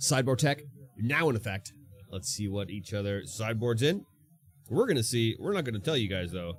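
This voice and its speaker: In an animated tone, a man talks at a fairly quick pace with lively intonation. His pitch is medium. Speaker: esports commentator. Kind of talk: live commentary. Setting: livestream. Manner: loud.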